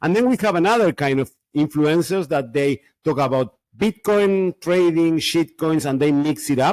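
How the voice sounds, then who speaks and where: With a fairly high pitch and lively intonation, a man speaks at a moderate pace in a dry, close sound with no echo. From Argentina. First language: Spanish. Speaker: Bitcoin podcaster. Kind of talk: interview. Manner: halting.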